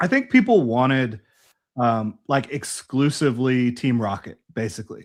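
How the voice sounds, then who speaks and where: A man's plain, everyday voice with an American accent, medium pitch, ordinary pitch variation and a moderate pace, on a very clean recording with a silent background. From US South, Jacksonville, Florida. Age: 30s. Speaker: Pokemon collector and YouTuber. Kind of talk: casual chat.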